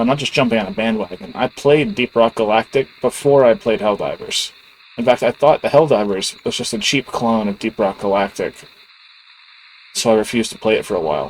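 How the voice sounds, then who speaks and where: Quiet and at a fairly quick pace, a man speaks in a dry, close recording with no echo. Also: medium pitch for a man, lively intonation. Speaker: gaming YouTuber. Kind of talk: casual channel update monologue. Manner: quiet, low-key; casual, hesitant with filler words.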